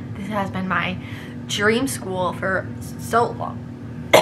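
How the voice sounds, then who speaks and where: A woman's voice with very wide pitch swings, plus audible room echo and noticeable background noise. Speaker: book YouTuber, journalism student. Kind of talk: casual vlog, book wrap-up. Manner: nervous, halting at times.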